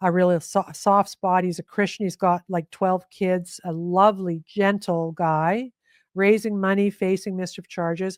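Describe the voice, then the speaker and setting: A woman of medium pitch speaks at a fairly slow pace in an animated tone. The recording is very clean, with a silent background and a dry, close sound with no echo. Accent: Canadian. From Canada. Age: 60s. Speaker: investigative journalist. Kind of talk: interview conversation.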